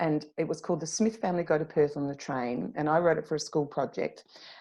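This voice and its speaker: Nothing much stirs in the background. The words come at a moderate pace. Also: woman. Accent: strong Australian. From South Australia, Clare Valley. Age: 50s. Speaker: author. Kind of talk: interview. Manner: hesitant, many fillers.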